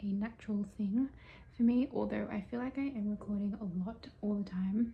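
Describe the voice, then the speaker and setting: With an Australian accent, a woman talks at a moderate pace in a medium pitch with fairly even intonation. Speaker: vlogger. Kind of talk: casual vlog monologue. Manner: quiet.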